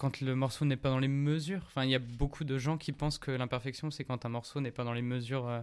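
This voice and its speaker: This man's medium-pitched delivery has hardly any pauses and a monotone, flat intonation. The recording is very clean, with a silent background. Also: fairly quick pace. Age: 20s. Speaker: musician. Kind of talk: casual chat.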